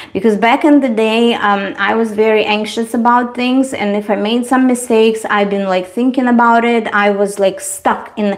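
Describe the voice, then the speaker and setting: In a Russian accent, the speaker talks at a moderate pace with fairly even intonation and hardly any pauses, over noticeable background noise. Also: woman, fairly high pitch for a woman. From Eastern Europe. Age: 40s. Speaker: beauty livestreamer. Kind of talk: casual livestream chat.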